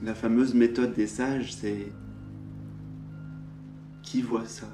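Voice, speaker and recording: Over music in the background, the speaker talks at a very slow pace in a calm tone. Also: man. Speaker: spiritual teacher. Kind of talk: spiritual satsang talk, non-dual teaching. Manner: calm, contemplative, slow, with pauses.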